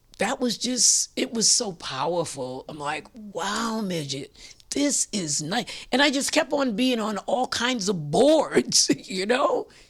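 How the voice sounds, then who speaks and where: A woman's fairly high, vocal-fried voice at a very slow pace, with very wide pitch swings. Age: 80s+. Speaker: community activist. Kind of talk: interview. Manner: halting.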